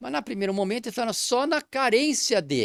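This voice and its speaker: On a very clean recording with a silent background and a dry, close sound with no echo, a man speaks at a moderate pace with very wide pitch swings. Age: 60s. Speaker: physician. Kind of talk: interview. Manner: halting.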